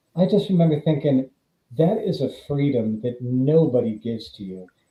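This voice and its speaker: The voice, somewhat breathy and at a moderate pace, makes very wide pitch swings and big swings in loudness. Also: man, fairly high pitch for a man. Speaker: actor and horror author. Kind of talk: casual interview chat.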